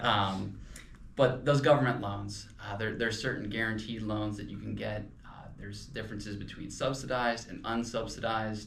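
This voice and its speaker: A man speaks in a Pennsylvania Dutch accent at a moderate pace, with audible room echo around him. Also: big swings in loudness. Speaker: financial advisor podcast co-host. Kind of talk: casual podcast discussion. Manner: hesitant, many fillers.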